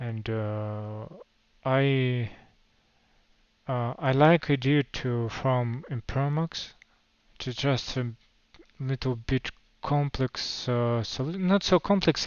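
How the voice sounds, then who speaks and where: A man with a Russian accent and ordinary pitch variation. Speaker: crypto project founder. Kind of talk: livestream Q&A. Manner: halting, many fillers.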